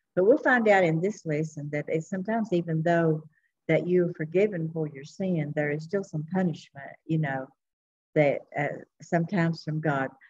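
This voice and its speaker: A somewhat breathy woman's voice, fairly low in pitch, with ordinary pitch variation. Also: moderate pace. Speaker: Sunday school teacher. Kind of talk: Bible lesson teaching. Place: hall. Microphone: webcam.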